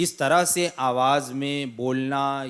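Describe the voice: The tone is clear and smooth. It is also fairly bright. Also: man.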